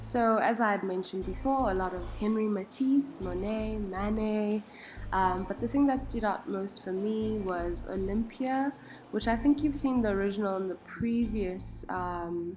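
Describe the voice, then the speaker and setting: Against background music and audible room echo, a woman talks in a relaxed tone. Her pitch is medium and her pace moderate. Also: ordinary pitch variation. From South Africa. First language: a South African language, not English. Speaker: travel vlogger. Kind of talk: casual vlog narration. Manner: relaxed, many filler ums.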